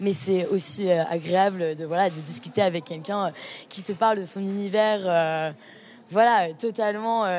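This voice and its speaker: Fairly slow and at a medium pitch, a woman speaks in a normal speaking voice. Her pitch varies in an ordinary way. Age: 20s. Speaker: art student, association co-founder. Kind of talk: casual interview.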